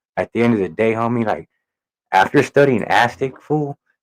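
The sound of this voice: A man's medium-pitched voice with lively intonation, a moderate pace, and a dry, close sound free of echo.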